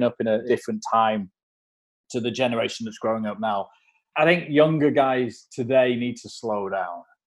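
Here a man talks with an English accent. His pace is fairly quick. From England. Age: 40s. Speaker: documentary photographer. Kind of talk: interview conversation. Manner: halting, with repeated words and fillers.

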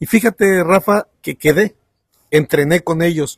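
This man has an ordinary speaking voice, talking at a moderate pace with ordinary pitch variation in a dry, close sound with no echo. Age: 40s. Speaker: economist and lecturer. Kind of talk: casual interview.

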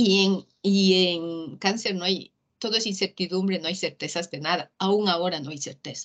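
A woman at medium pitch and a moderate pace, with ordinary pitch variation, big swings in loudness and a normal speaking voice. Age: 50s. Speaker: motivational speaker. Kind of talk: casual interview.

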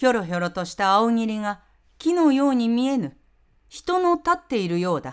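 On a very clean recording with a silent background, a woman with a fairly high pitch speaks at a moderate pace, her pitch swinging very widely. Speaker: narrator. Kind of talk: reading aloud.

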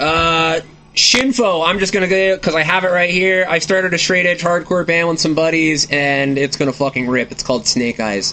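Speaking at a moderate pace with hardly any pauses, a man uses a high pitch, ordinary pitch variation and very even loudness. Noticeable background noise runs underneath. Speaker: podcast host. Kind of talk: casual interview chat.

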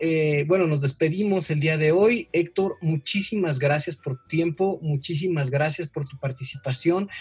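A high-voiced man talks at a fairly slow pace with hardly any pauses. His loudness swings widely, and noticeable background noise runs underneath. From Mexico, Veracruz. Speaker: pediatrician podcast host. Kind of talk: casual interview. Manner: halting.

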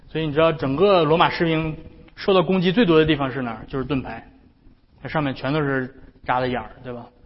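Audible room echo surrounds a man at a very fast pace. His pitch is fairly high, with ordinary pitch variation. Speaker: pastor. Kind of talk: sermon.

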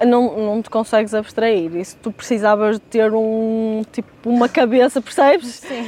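A woman with a normal speaking voice and fairly high pitch, at a fairly slow pace with hardly any pauses. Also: fairly even intonation. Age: 20s. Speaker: fitness trainer. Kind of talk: casual chat.

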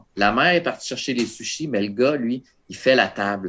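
At a fairly quick pace, a man with a plain, everyday voice talks at medium pitch with lively intonation, in a very clean recording with a silent background. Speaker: horror film critic and podcaster. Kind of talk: casual chat.

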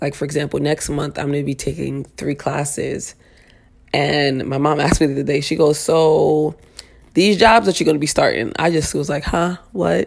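A woman with a very deep, low pitch and vocal fry speaks in an animated tone at a moderate pace with ordinary pitch variation. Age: 30s. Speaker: podcast host and stylist. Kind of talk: casual solo talk.

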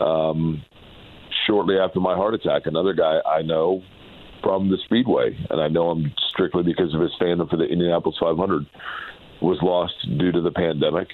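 Speaking at a moderate pace with long, frequent pauses, a man uses a very deep, low pitch and fairly even intonation. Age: 40s. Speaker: motorsport radio announcer. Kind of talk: interview conversation. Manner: hesitant with fillers.

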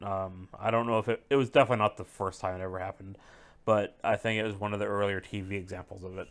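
Fairly even in intonation, a man speaks at a very fast pace. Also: fairly low pitch for a man, very clean recording, silent background. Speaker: podcast co-host. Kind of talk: casual chat.

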